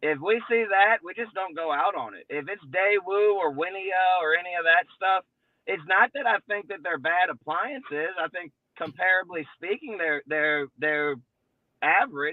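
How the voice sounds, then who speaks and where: A man speaks at a moderate pace in a high pitch with ordinary pitch variation. His loudness swings widely. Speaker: appliance repair business owner. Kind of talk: casual chat. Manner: animated.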